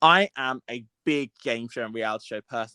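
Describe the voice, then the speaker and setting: Heard on a very clean, silent recording with a dry, close sound and no echo, a man speaks at a medium pitch with a bright, sharp tone and a British accent. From UK. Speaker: podcast co-host. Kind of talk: casual chat.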